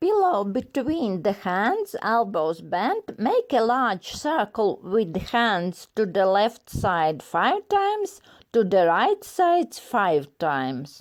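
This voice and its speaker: In a non-native accent, a woman with fairly high pitch speaks at a very slow pace with hardly any pauses, very wide pitch swings and very even loudness in a very clean recording with a silent background. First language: not English. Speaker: fitness instructor doctor. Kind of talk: exercise instruction. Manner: slow, measured.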